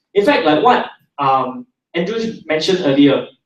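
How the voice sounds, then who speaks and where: Here a man talks in a Singaporean accent. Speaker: internet entrepreneur, seminar speaker. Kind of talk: seminar talk to live audience. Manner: animated.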